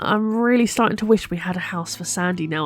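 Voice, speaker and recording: A woman is speaking. She has a British accent. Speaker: gaming YouTuber. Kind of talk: gameplay commentary.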